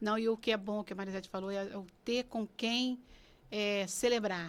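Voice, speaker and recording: A woman with an ordinary speaking voice talks at a moderate pace, her medium pitch carrying fairly even intonation. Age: 60s. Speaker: pastor. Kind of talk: casual chat.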